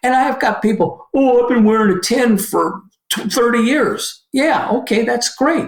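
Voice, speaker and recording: A man talks at a fairly slow pace, his voice showing ordinary pitch variation. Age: 70s. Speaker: shoe company owner. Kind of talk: podcast interview. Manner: halting, self-correcting.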